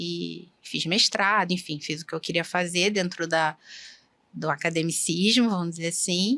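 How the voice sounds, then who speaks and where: Against a very clean, silent background, a woman speaks fairly slowly with vocal fry and a bright, sharp tone at a fairly low pitch, with ordinary pitch variation. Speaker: endoscopist doctor. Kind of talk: interview conversation. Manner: soft-spoken.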